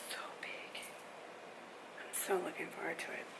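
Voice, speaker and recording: A woman whispers in a space with audible room echo. Noticeable background noise runs underneath. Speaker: weight loss vlogger. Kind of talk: casual vlog chat. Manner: hesitant, many fillers.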